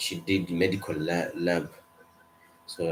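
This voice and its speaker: A man with a non-native accent speaks with a very deep, low pitch. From Kenya. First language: not English. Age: 20s. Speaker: medical student. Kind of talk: casual chat.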